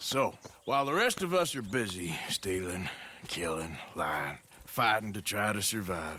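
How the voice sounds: A man puts on a character voice, low in pitch with a bright, sharp tone. He goes at a fairly slow pace with lively intonation.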